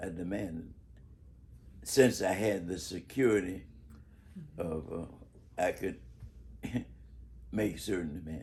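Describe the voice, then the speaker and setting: Speaking at a fairly slow pace with long, frequent pauses, a man has a very deep, low pitch, a somewhat breathy sound, and ordinary pitch variation. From Chicago, Bronzeville. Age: 80s+. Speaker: civil rights activist and educator. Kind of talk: interview answer. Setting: home.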